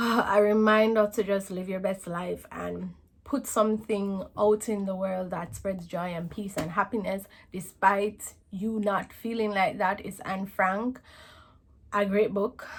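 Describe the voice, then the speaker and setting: A woman's somewhat breathy voice at a medium pitch, with fairly even intonation, on a very clean recording with a silent background. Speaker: book vlogger. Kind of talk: casual vlog talk. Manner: hesitant, many fillers.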